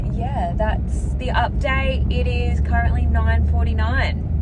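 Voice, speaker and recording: Loud background noise sits under a woman speaking at a very slow pace, the sound dry with no echo. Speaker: parent vlogger. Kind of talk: casual vlog chat. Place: car. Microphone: phone near.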